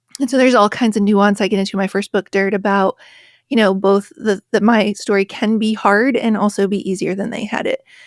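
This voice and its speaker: In a very clean recording with a silent background and a dry, close sound with no echo, a woman with an American accent speaks fairly quickly at a medium pitch in a monotone, flat intonation. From rural West Virginia. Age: 40s. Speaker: author and podcaster. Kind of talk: interview conversation.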